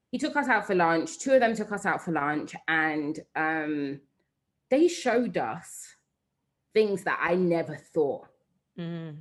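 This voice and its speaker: In a London accent, a woman with a fairly low pitch speaks at a fairly slow pace, her pitch swinging very widely, with long, frequent pauses against a quiet background. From London, England. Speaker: entrepreneur and digital director. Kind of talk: interview conversation.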